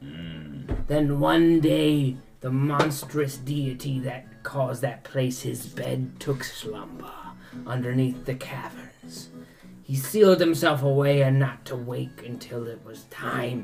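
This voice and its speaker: A put-on character voice at a low-to-middle pitch moves fairly slowly. Music plays clearly in the background. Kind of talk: pirate-style storytelling. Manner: boastful, theatrical, salty "aye" speech.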